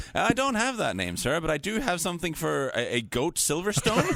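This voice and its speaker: With a Norwegian accent, this voice moves at a fairly quick pace through very wide pitch swings. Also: man. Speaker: football podcast host. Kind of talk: casual chat.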